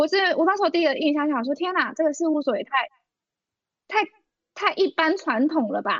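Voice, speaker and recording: An extremely high-pitched woman's voice with an animated tone, ordinary pitch variation, a fairly quick pace and long, frequent pauses. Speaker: podcast co-host, former auditor. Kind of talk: casual chat. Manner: animated, frequent laughter.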